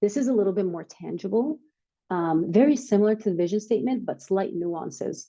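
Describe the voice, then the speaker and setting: Lively intonation colors a dark, mellow tone. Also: woman, medium pitch for a woman, fairly quick pace. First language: not English. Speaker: startup workshop speaker. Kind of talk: workshop presentation. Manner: casual, filler-heavy.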